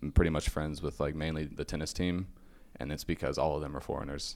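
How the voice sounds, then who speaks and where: In a very deep, low voice, a man with an American accent speaks in a flat monotone with vocal fry. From Venezuela and Mexico (American family). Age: 20s. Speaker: college student, podcast guest. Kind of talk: casual interview. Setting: café.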